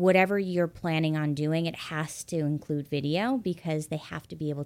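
On a very clean recording with a silent background, a woman with an American accent talks at a fairly quick pace, using a very deep, low pitch and fairly even intonation. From US Midwest. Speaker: loan officer. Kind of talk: interview.

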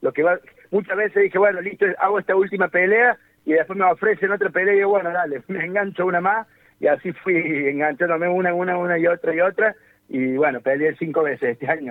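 This man's pitch is high. He talks at a very fast pace. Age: 40s. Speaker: MMA fighter and fitness coach. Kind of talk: radio phone interview.

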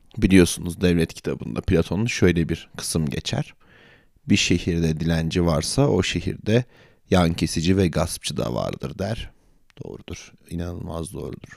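A man's very deep, low voice with vocal fry, at a fairly slow pace, on a very clean recording with a silent background. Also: lively intonation. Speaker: podcast host. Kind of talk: satirical monologue. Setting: hotel room.

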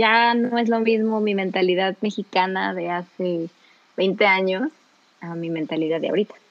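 A woman's medium-pitched voice, an ordinary speaking voice at a moderate pace with ordinary pitch variation. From Mexico, Celaya, Guanajuato. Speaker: radio host. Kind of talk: casual chat.

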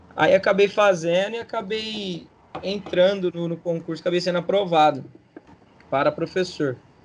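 Here a man talks at a high pitch with fairly even intonation. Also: moderate pace. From Brazil, São Paulo state (Barrinha, near Ribeirão Preto). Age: 30s. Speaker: PE teacher and local political candidate. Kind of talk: casual interview.

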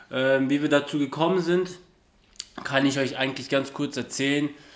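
A man's fairly high-pitched, fairly quick speech with fairly even intonation, set against noticeable background noise. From southern Germany (Ulm, Swabia). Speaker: podcast co-host. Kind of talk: casual chat.

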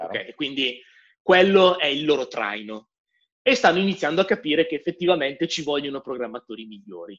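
Speaking at a fairly quick pace, a man with a fairly high pitch delivers an animated tone, with very wide pitch swings and big swings in loudness. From northern Italy, Milan. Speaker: software developer. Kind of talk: interview.

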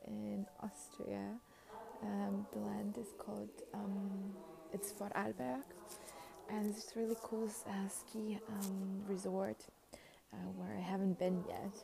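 Amid noticeable background noise, a woman speaks at a very slow pace with long, frequent pauses. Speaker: podcaster. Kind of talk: casual monologue voice memo. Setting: outdoors at a station in snow. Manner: hesitant, many fillers and laughs.

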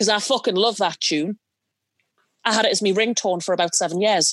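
A woman with a Geordie accent and fairly even intonation. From northeast England, Newcastle. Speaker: movie podcast panelist. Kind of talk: casual chat.

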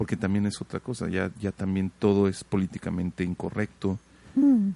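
A man talks at a fairly slow pace. His voice sits fairly low, with a dark, mellow tone. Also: dry, close sound with no echo. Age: 30s. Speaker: podcast host. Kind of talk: interview conversation. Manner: halting, many fillers.

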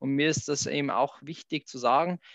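A man with a Bavarian accent speaks at a fairly slow pace and a fairly high pitch. The sound is dry and close with no echo, and the background is quiet. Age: 30s. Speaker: hotel director. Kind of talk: interview.

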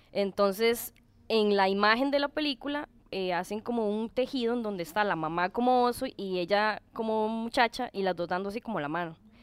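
A normal speaking voice from a woman, fairly high in pitch, at a moderate pace with ordinary pitch variation. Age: 30s. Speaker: tattoo client. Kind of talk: casual chat.

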